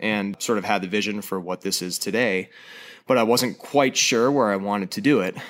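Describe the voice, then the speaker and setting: A man with an American accent talks at a fairly quick pace in a fairly low pitch. He has an unremarkable speaking voice with ordinary pitch variation. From Wisconsin (Madison). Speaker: brewery owner, brewer. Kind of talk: interview. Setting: brewery garage space.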